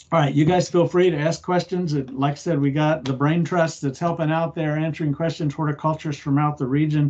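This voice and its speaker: The speech moves at a fairly quick pace with hardly any pauses and a monotone, flat intonation. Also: man, fairly high pitch for a man. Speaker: horticulture extension agent. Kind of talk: online lecture. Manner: fast. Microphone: video call.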